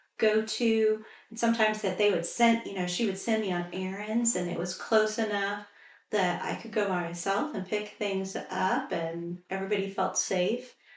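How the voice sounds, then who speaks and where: A woman with an American accent speaks at a moderate pace with medium pitch and fairly even intonation. Noticeable background noise is present. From central Indiana, US. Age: 60s. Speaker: local resident interviewee. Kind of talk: oral history interview.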